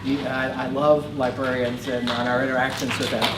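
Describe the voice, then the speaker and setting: Speaking at a fairly quick pace with a New York accent, a man is heard through audible room echo and noticeable background noise. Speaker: research director and speaker. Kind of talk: conference talk. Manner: fast.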